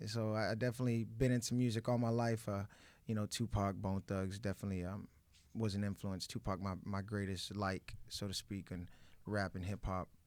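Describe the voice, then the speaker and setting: A plain, everyday voice with an American accent, fairly even intonation and a fairly quick pace, in a very clean recording over a silent background. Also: man, fairly low pitch for a man. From US South, Orlando, Florida. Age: 20s. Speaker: rapper. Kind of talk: interview.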